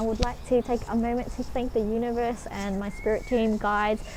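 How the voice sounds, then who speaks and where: A woman at a fairly quick pace amid noticeable background noise. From Australia. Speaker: spiritual vlogger. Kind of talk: casual vlog monologue. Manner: fast; sometimes slurred, mispronounces words.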